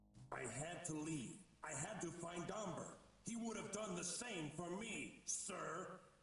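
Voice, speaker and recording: Putting on a character voice, a man talks fairly slowly at a high pitch, with clear echo around him. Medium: video game.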